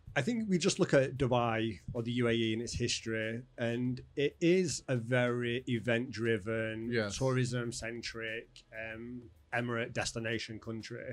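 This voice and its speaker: A man speaks in a Manchester accent. His intonation is fairly even. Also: medium pitch for a man, fairly slow pace. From northern England. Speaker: events company owner. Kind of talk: casual interview. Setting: studio.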